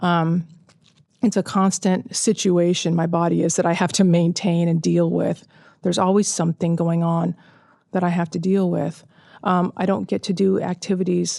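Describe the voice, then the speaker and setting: Over a quiet background, a woman with a Californian accent speaks at a moderate pace in a fairly low pitch. Her tone is dark and mellow, her intonation fairly even. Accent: Californian American. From Southern California. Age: 40s. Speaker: cancer survivor and author. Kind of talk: interview testimony. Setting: outdoors.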